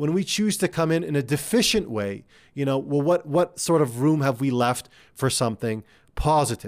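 A fairly high-pitched man at a moderate pace, in a very clean recording with a silent background. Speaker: career coach and podcast host. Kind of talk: solo coaching talk. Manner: conversational, filler words; direct, motivational.

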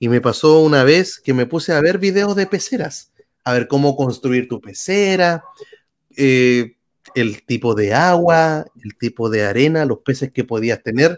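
A man talks at a fairly slow pace with a fairly high pitch. His intonation is lively. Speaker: YouTube tech communicator. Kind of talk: interview. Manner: animated.

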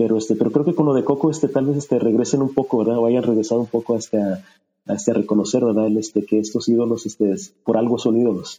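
This man talks at a very fast pace in a dark, mellow tone, with very even loudness and ordinary pitch variation. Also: medium pitch for a man. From US-Mexico border region (Texas). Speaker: former coworker, music fan. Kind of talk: casual interview about favorite songs. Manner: halting, many fillers.

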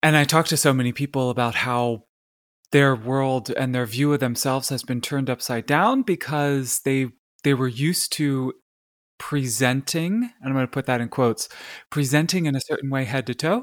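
On a very clean recording with a silent background and a dry, close sound with no echo, a man with an American accent uses a plain, everyday voice at medium pitch with ordinary pitch variation. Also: moderate pace. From Pennsylvania, US. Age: 40s. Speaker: life coach and social media creator. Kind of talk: casual interview.

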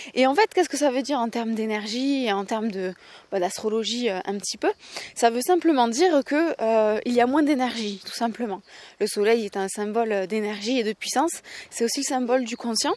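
A woman's voice, fairly high in pitch with ordinary pitch variation, moves at a fairly quick pace. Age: 20s. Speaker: podcaster. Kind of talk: casual monologue. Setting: outdoors, walking. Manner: halting.

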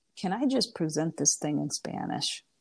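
A woman with an American accent speaks with vocal fry and lively intonation in a very clean recording with a silent background. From Indiana. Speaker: professor. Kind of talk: interview.

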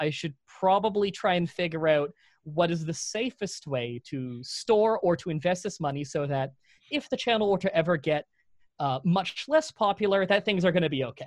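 A man with a Canadian accent, an unremarkable speaking voice, talks at a moderate pace with lively intonation in a dry, close sound with no echo. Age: 20s. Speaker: YouTube content creator. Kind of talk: casual interview.

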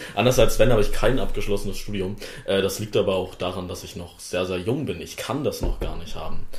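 Fairly quick speech from a man, with big swings in loudness, audible room echo, and music in the background. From Wittenberg, Saxony-Anhalt, Germany. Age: young. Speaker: politician, parliamentary candidate. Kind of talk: casual chat.

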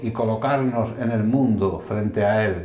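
Over music in the background and with audible room echo, a man speaks at a fairly slow pace in a medium-pitched voice with fairly even intonation. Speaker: podcast host. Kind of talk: scripted narration. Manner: formal.

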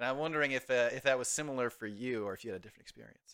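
In a bright, sharp tone, the voice races at a very fast pace with ordinary pitch variation on a very clean recording with a silent background. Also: man. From rural area. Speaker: podcast host. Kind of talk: casual interview.

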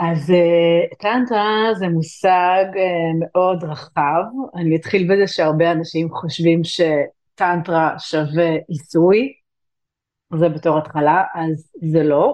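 The pitch moves in an ordinary way. The pace is very slow. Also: woman, fairly low pitch for a woman. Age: 40s. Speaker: tantra and intimacy coach. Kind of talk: interview.

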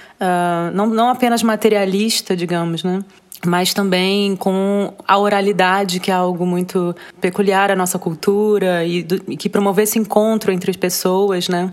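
A woman speaks at medium pitch. Her intonation is flat and monotone. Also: moderate pace. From Rio de Janeiro, Brazil. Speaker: visual artist. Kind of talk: interview. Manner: halting.

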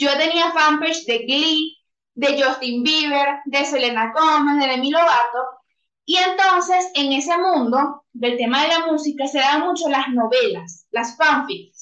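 A woman with a Venezuelan accent speaks in a high pitch at a fairly slow pace. Her pitch varies in an ordinary way. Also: very even loudness. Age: 20s. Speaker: copywriter. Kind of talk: interview.

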